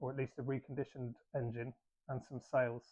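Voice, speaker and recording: Here a man talks at a fairly quick pace. His pitch is medium, with monotone, flat intonation. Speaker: boat restorer and YouTuber. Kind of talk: video voiceover narration.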